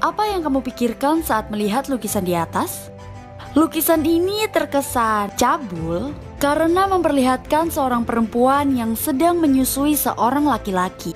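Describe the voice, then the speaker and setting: A woman's high-pitched voice at a moderate pace, with very wide pitch swings and music in the background. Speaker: voice-over narrator. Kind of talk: documentary narration about art.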